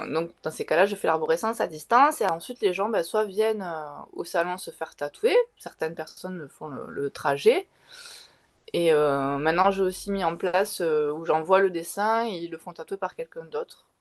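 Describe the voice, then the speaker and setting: With big swings in loudness, a woman speaks at a moderate pace in a fairly low pitch with ordinary pitch variation. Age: 40s. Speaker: tattoo artist and tarot reader. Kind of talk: interview. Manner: halting, many fillers.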